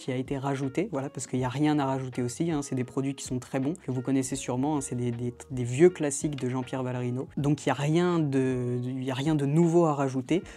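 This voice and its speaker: Music plays in the background. A man speaks at a fairly high pitch and fairly quick pace. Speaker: magic shop presenter. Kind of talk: product unboxing video. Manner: hesitant, many fillers.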